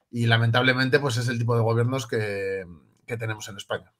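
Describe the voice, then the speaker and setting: Moving at a fairly quick pace, a man with a Spanish accent speaks in a bright, sharp tone. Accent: Peninsular Spanish. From Spain. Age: 30s. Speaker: political activist and writer. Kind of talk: interview.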